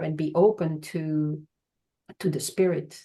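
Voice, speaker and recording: Speaking at a fairly slow pace in a Belgian accent, a woman has a dark, mellow tone. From Belgium. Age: 60s. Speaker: charity worker. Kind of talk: podcast interview. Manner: halting.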